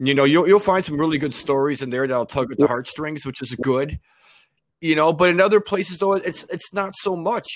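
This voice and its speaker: With an American accent, an ordinary speaking voice keeps a fairly quick pace and ordinary pitch variation. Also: man, fairly high pitch for a man. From Chicago. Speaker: podcast host guest. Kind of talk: casual interview.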